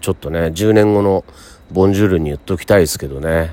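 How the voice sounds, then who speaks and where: A man speaks at a fairly quick pace with a very deep, low pitch. His pitch variation is ordinary. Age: 50s. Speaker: radio host. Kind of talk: casual chat. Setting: hot spring inn.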